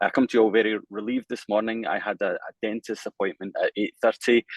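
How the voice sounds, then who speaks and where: A man rattles along at a very fast pace with a strong Scottish accent. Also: dry, close sound with no echo. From Scotland. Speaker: bank lawyer. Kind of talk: panel introduction. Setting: online webinar.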